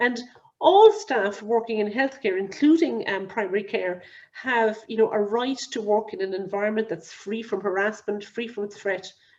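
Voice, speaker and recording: The speaker has a Cork accent. Pitch variation is ordinary. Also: woman, fairly high pitch for a woman. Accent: Cork Irish. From Ireland, Cork. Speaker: clinical risk advisor. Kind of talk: webinar lecture. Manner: fast.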